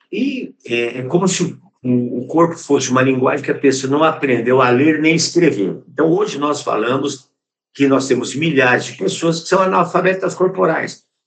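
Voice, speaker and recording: Moderate pace with audible room echo. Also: man, fairly high pitch for a man, lively intonation. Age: 70s. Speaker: physical education professor. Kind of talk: conference lecture. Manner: halting, with repeated words and fillers.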